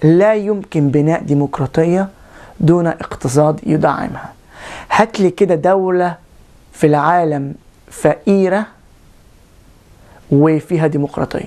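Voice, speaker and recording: A woman speaks very slowly at a fairly low pitch, her tone dark and mellow. Her pitch variation is ordinary, and she takes long, frequent pauses. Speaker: video blogger. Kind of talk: political commentary monologue. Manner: animated.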